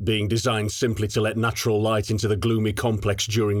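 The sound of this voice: The voice reads aloud in an unforced way.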